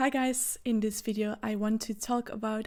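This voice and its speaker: A woman with a Flemish Belgian accent speaks at a fairly high pitch in a dark, mellow tone, with monotone, flat intonation. She moves at a fairly slow pace in a very clean recording with a silent background. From Belgium (Flemish). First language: Dutch. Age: 20s. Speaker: vlogger. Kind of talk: casual vlog talk to camera.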